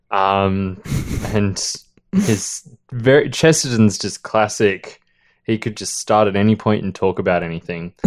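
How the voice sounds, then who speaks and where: A man with an ordinary speaking voice, fairly low in pitch, at a moderate pace, with big swings in loudness. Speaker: podcast host. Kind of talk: casual book-club chat. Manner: chatty, joking.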